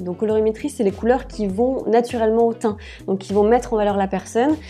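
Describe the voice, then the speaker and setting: A woman at a fairly high pitch, very fast in pace, with fairly even intonation. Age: 30s. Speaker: personal stylist and wardrobe coach. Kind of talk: casual interview. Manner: hesitant, many fillers.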